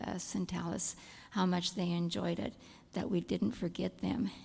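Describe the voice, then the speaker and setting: Soft-spoken and fairly low-pitched, a woman talks at a moderate pace with vocal fry, a dark, mellow tone and ordinary pitch variation on a very clean recording with a silent background. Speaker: kindergarten teacher, church care team member. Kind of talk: church meeting report.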